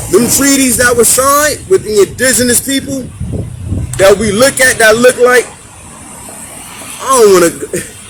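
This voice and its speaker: An extremely high-pitched man with an American accent, speaking fairly slowly with lively intonation over noticeable background noise. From Hartford, Connecticut. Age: 30s. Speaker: community talk show host. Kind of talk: street conversation monologue. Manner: animated.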